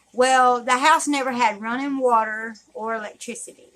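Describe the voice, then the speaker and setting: Here a woman speaks with a Southern US accent. Her tone is bright and sharp. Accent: southern drawl. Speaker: YouTuber. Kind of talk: storytelling. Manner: halting.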